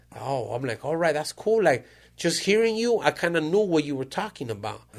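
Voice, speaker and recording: A man's fairly high voice at a fairly quick pace, animated in tone, with very wide pitch swings. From Mexico (Jalisco), raised in California. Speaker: podcast host. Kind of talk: casual chat.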